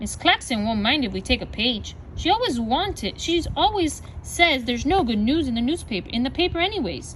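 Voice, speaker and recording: A woman's high-pitched, put-on character voice at a fairly quick pace, with clear background noise. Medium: read story.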